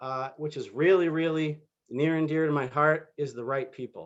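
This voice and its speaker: A man has an ordinary speaking voice at a fairly high pitch with fairly even intonation. He talks at a moderate pace against a quiet background. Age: 40s. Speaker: network marketing recruiter. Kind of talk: sales pitch. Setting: video call.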